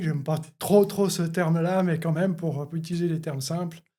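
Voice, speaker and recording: The man's pitch is fairly high, with a dark, mellow tone. His intonation stays fairly even. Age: 50s. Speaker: coach. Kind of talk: podcast interview.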